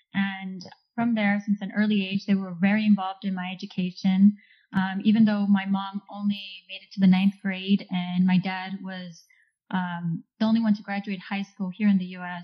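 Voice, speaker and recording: A woman's somewhat breathy, medium-pitched voice at a moderate pace, monotone and flat in intonation, with big swings in loudness. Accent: Californian. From Orange County, California. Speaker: engineer. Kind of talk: casual interview chat.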